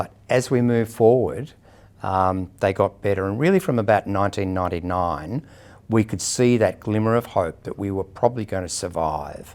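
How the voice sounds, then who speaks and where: A man speaks at a moderate pace with an Australian accent, his pitch fairly low and its variation ordinary. The recording is very clean, with a silent background. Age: 60s. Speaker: person living with HIV sharing experience. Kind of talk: personal testimony interview. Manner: hesitant, with frequent fillers.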